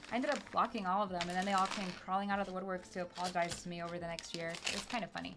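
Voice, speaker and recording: Over noticeable background noise, a woman speaks at a very fast pace in an animated tone. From South Texas border town. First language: Spanish. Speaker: LEGO streamer. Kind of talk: casual live stream chat while building.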